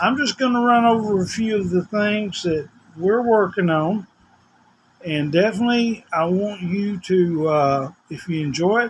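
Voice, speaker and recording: A man speaks in a high voice at a fairly slow pace. His pitch rises and falls in an ordinary way. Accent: Southern US. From US South, Tennessee. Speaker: vlogger. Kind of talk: casual vlog monologue. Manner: rambling, informal.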